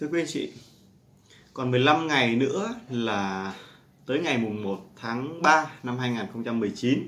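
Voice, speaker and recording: A man talks at a very slow pace with long, frequent pauses and ordinary pitch variation. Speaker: stock market commentator. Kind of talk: market commentary monologue. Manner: animated. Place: home room.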